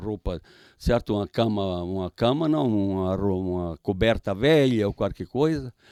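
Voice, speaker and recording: A man's fairly low, dark, mellow voice at a fairly slow pace. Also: dry, close sound with no echo. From Santa Catarina, southern Brazil (Vítor Meireles). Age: 80s+. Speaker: retired supermarket owner. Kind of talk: interview storytelling. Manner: halting, repetitive.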